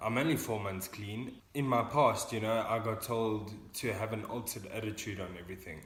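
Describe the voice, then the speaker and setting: Somewhat breathy speech at a moderate pace with fairly even intonation and hardly any pauses, amid audible room echo. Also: man, medium pitch for a man. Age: 20s. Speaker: young person in addiction recovery. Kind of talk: casual vlog talk.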